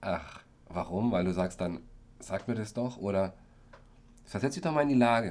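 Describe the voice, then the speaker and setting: A man with a fairly low pitch talks at a moderate pace. His intonation is lively, broken by long, frequent pauses. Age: 30s. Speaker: care worker and actor, podcast co-host. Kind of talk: casual chat.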